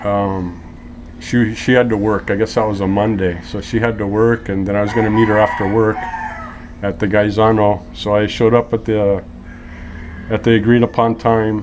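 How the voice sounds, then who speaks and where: A man with an American accent talks at a moderate pace and a fairly low pitch. His intonation is monotone and flat, with noticeable background noise behind him. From US West Coast (Los Angeles). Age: 50s. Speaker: interview guest. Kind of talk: casual interview, storytelling. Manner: relaxed, chatty.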